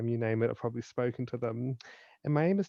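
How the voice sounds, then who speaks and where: A man's medium-pitched voice in a New Zealand accent. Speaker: suicide prevention speaker and author. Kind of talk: podcast interview.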